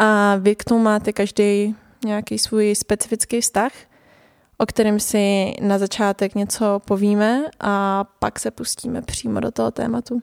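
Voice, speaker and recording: Flat, monotone delivery at a fairly slow pace, dry and close with no echo, on a very clean recording with a silent background. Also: woman, medium pitch for a woman. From Prague, Czech Republic. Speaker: podcast host. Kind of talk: conversational interview.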